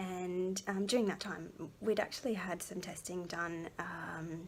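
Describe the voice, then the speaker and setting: At a fairly slow pace, a woman of medium pitch talks with fairly even intonation amid noticeable background noise. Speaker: vlogger, mother. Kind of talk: personal testimony vlog. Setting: at home. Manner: soft-spoken; hesitant, many fillers.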